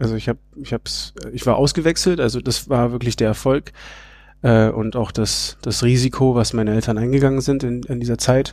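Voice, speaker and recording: A man speaks in a normal speaking voice, using a medium pitch, fairly even intonation and a moderate pace. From Berlin, Germany (bilingual, English parents). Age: 30s. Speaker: outdoor educator and family project founder. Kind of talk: interview.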